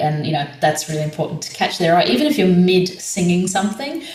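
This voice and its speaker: A woman with a fairly low pitch talks at a fairly quick pace with lively intonation, accompanied by audible room echo and noticeable background noise. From southeast Queensland, Australia. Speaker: community choir leader. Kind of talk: podcast interview.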